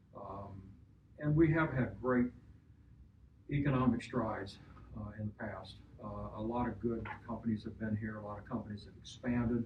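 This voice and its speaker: Audible room echo surrounds a man with an American accent who talks at a medium pitch with vocal fry and ordinary pitch variation. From Missouri, St. Joseph. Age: 70s. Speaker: local businessman. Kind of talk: focus group discussion.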